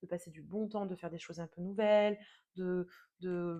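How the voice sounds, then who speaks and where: A woman's voice has a dark, mellow tone. Her intonation is fairly even. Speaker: tarot reader. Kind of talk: tarot reading monologue. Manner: hesitant, many fillers.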